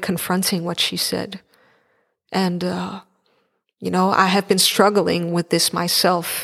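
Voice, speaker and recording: A woman with a medium pitch speaks in a monotone, flat intonation on a very clean recording with a silent background. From eastern Netherlands, Enschede. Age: 20s. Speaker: podcast host, writer and social worker. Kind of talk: solo podcast monologue.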